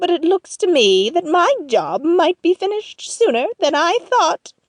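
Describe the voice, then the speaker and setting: A woman's put-on character voice at an extremely high pitch, with very wide pitch swings, very even loudness and a dry, close sound with no echo. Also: moderate pace. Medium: audio drama. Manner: scheming, emphatic.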